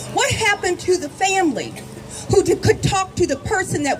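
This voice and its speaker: A woman with lively intonation at a moderate pace, with noticeable background noise. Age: 60s. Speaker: activist speaker. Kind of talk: rally speech. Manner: impassioned, rhetorical repetition.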